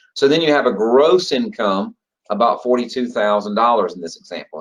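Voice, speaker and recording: Speaking at a fairly quick pace, a man talks with a Georgia accent. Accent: Georgia Southern. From US state of Georgia. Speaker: federal retirement trainer. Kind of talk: online training webinar. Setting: online group call. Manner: casual, conversational with fillers.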